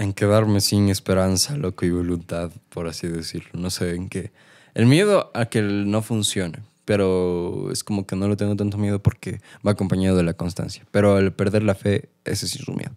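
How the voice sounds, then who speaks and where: A man with an unremarkable speaking voice talks at a moderate pace and a fairly low pitch with fairly even intonation, in a dry, close sound with no echo. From Cuenca, Ecuador. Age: young. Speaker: singer-songwriter. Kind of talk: casual interview. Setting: studio. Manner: casual slangy, fillers.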